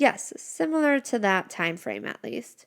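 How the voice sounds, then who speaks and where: In a soft-spoken, put-on character voice, a woman talks fairly slowly at a medium pitch, her voice sounding female. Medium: read story. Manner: soft, kindly.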